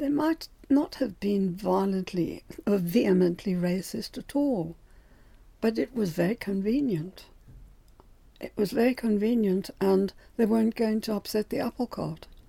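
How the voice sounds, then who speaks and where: A woman speaks in a medium pitch, her voice somewhat breathy with a dark, mellow tone. She pauses long and often. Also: ordinary pitch variation, moderate pace. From Germany, Cologne, later South Africa and Britain. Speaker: elderly storyteller recounting life story. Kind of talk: oral history, personal memoir narration.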